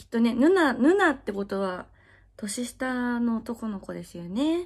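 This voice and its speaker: The background is quiet while a woman speaks at a fairly slow pace. Her pitch is fairly high. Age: 20s. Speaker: adult video actress. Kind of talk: casual Q&A chat. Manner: frequent laughter. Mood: cheerful, friendly. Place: home room.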